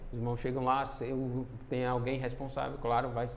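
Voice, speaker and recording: A man at a moderate pace, with audible room echo. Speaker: church minister / preacher. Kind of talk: sermon. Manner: halting, many fillers.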